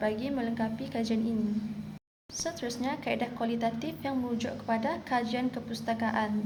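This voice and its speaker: Through noticeable background noise, a woman speaks at a moderate pace and a fairly high pitch with fairly even intonation. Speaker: university student. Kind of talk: class presentation.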